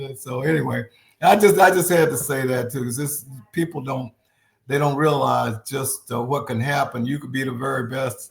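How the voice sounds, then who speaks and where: In an American accent, a man at a medium pitch talks with vocal fry at a moderate pace, with ordinary pitch variation. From Texas. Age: 70s. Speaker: retired pro football player and coach. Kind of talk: interview. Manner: halting.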